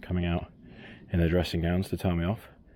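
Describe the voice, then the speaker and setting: A soft-spoken man with a British accent, a very deep, low pitch, a dark, mellow tone and monotone, flat intonation. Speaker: angler vlogger. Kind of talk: casual vlog talk to camera. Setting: outdoors by a canal at first light. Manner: soft-spoken, quiet; hesitant with many ums.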